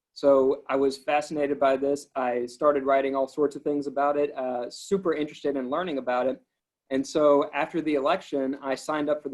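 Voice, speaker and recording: A man talks at a fairly quick pace in a fairly high pitch, with a slight Alabama accent. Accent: faint coastal Alabama. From Alabama coast, US South. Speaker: government transportation policy official. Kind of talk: interview.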